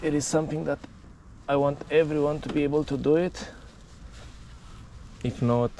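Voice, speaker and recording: Talking at a fairly quick pace, a man speaks with a non-native accent. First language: not English. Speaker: mountain bike vlogger. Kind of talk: casual tutorial. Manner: animated.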